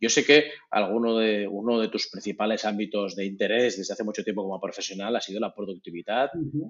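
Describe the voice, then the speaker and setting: This man has an unremarkable speaking voice, fairly low in pitch with ordinary pitch variation, moving at a fairly quick pace with hardly any pauses. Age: 40s. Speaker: podcast host. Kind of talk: interview.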